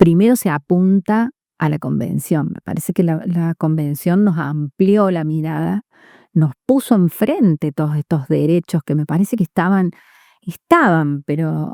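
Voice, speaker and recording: A woman speaks at a fairly slow pace with a dark, mellow tone and fairly low pitch. Her pitch varies in an ordinary way, and the sound is dry and close with no echo. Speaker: judge. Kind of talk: interview. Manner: loud voice; halting, many fillers.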